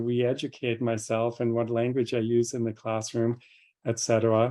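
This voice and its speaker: A man at a moderate pace, medium pitch and a dark, mellow tone. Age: 60s. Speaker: professor of Chinese medicine. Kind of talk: lecture Q&A answer. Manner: halting, many fillers.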